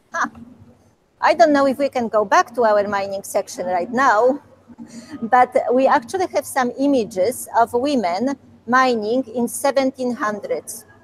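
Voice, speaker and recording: In a Polish accent, a woman speaks at a high pitch and a fairly slow pace, with ordinary pitch variation and a dry, close sound with no echo. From Poland. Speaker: museum curator. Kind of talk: Q&A talk with school classes. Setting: video call.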